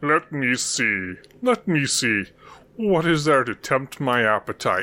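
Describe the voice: A man puts on a rumbling character voice, fairly high-pitched with very wide pitch swings. He speaks at a fairly slow pace.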